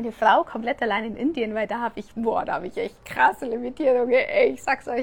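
A woman speaks at a very fast pace in a high pitch with ordinary pitch variation. Her tone is animated. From Germany. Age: 30s. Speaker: podcast host and coach. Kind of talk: casual live Q&A stream. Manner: animated, with many fillers.

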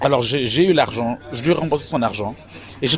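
Noticeable noise in the background behind fairly quick talking and ordinary shifts in pitch. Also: man. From Quebec, Montreal. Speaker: entrepreneur and author. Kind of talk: interview. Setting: hotel lobby.

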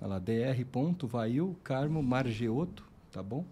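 Somewhat breathy and dark, mellow in tone, this man's voice shows ordinary pitch variation. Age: 40s. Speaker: podcast host, lab owner. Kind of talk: casual interview.

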